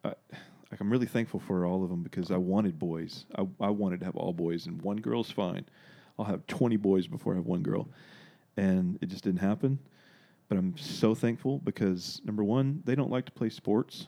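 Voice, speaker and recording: With a Southern US accent, a man speaks at a moderate pace in a dark, mellow tone, his pitch fairly low and his intonation lively. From US South, Arkansas. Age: 30s. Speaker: guest. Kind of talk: casual chat. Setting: studio.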